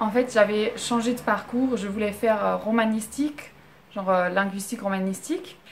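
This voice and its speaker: Moderate pace and ordinary pitch variation from a woman at medium pitch. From Germany. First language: German (speaking French). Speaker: vlogger. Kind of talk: casual storytelling vlog. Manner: halting, many fillers.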